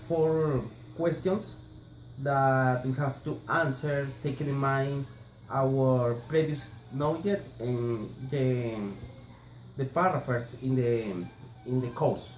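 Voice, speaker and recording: Speaking very slowly with long, frequent pauses, a man with a Colombian accent uses ordinary pitch variation amid light background noise and audible room echo. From Colombia, Barranquilla. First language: Spanish. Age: 30s. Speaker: language student. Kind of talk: class assignment presentation. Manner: halting, hesitant. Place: home room. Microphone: phone near.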